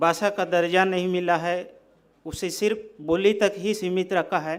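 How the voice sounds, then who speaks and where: A man with a Central Indian accent and a high pitch, in monotone, flat intonation. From Bastar, Chhattisgarh. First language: Gondi (speaking Hindi). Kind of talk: speech.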